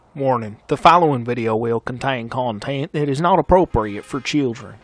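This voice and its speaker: A man talks with music playing in the background. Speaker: gaming youtuber. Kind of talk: gameplay commentary.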